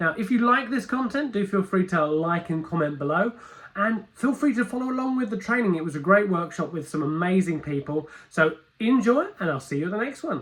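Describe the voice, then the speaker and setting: A man talks fairly quickly in a high pitch. His pitch swings very widely over noticeable background noise. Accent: British. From London, England. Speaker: metaphor coach and workshop presenter. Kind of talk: recorded video introduction; live workshop presentation. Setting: conference stage with audience.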